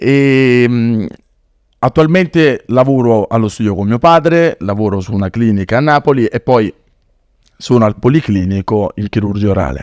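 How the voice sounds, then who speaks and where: A man talks at a moderate pace and medium pitch, with lively intonation and long, frequent pauses. The sound is dry and close, with no echo. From southern Italy, Naples. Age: 20s. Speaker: dentist and charity founder. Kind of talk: podcast interview, personal story.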